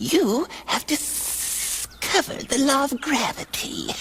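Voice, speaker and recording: A put-on character voice pitched high moves at a fairly slow pace over clear background noise. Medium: short film. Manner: smooth, condescending.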